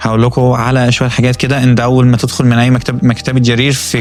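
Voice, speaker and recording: Music plays in the background behind a man. He speaks at a medium pitch and a moderate pace. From Egypt. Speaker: programmer vlogger. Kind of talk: vlog walkthrough. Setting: inside a bookstore. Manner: animated; frequent fillers and restarts.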